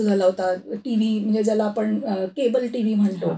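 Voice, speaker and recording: A woman's voice with a dark, mellow tone. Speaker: radio news reader. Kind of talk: interview answer.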